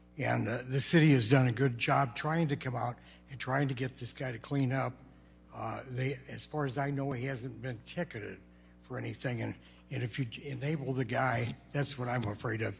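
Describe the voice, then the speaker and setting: A man talks at a moderate pace and a medium pitch. His intonation is fairly even, with vocal fry. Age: 70s. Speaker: resident speaking at public comment. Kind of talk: public comment at council meeting. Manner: halting.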